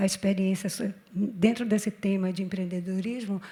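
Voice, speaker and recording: This woman's voice sits at medium pitch. Her tone is dark and mellow, and somewhat breathy. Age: 60s. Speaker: panel moderator. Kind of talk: panel discussion.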